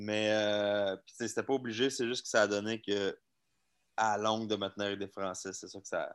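In a very clean recording with a silent background, a man with a Quebec accent speaks at a moderate pace in a fairly low, monotone, flat intonation. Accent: Québécois French. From Quebec, Laval. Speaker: magician. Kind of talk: casual chat.

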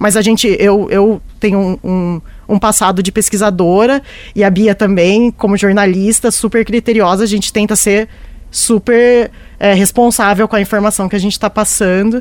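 The voice holds a flat, monotone intonation at a moderate pace. Its loudness stays very even throughout. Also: woman, medium pitch for a woman. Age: 30s. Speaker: science journalist and podcaster. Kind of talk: panel discussion.

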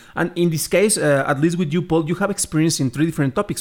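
In a Spanish accent, a man with a fairly high pitch speaks with lively intonation on a very clean recording with a silent background. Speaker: podcast host, film critic. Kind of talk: interview. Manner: hesitant, many repetitions.

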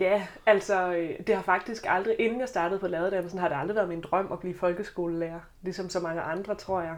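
A woman speaks with a slight Southern Jutland accent at medium pitch and fairly even intonation. Her pace is fairly quick, with hardly any pauses. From Southern Jutland, Denmark. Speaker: teacher student and student politician. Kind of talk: podcast panel discussion. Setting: studio.

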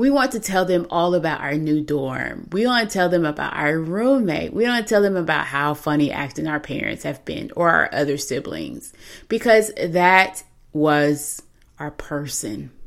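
A woman with an unremarkable speaking voice talks at a moderate pace, her fairly low pitch carrying lively intonation, in a very clean recording with a silent background. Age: 30s. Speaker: podcast host, grief therapist. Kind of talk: solo podcast monologue.

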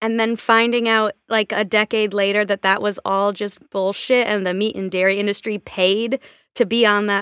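In a dry, close recording with no echo, a woman with a plain, everyday voice talks at a moderate pace and a medium pitch. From Washington State. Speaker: theater performer and podcaster. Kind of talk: casual chat. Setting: remote call.

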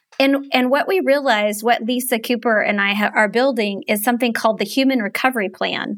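A woman with a fairly high pitch talks in a normal speaking voice, with ordinary pitch variation, very even loudness and hardly any pauses. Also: fairly quick pace. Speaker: grief podcast host. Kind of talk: casual chat.

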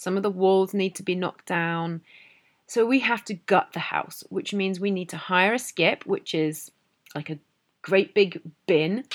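A woman with a British accent speaks at a fairly slow pace, medium in pitch with ordinary pitch variation. Her loudness swings widely, in a very clean recording with a silent background. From Britain. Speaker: English teacher podcaster. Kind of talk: educational monologue. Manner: hesitant, many fillers.

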